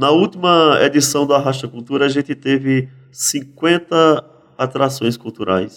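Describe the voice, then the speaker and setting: Speaking at a fairly slow pace, a man with a plain, everyday voice has a fairly high pitch. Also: ordinary pitch variation. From Pernambuco agreste/sertão, Brazil (teen years in São Paulo). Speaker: poet and cordel writer. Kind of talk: casual interview.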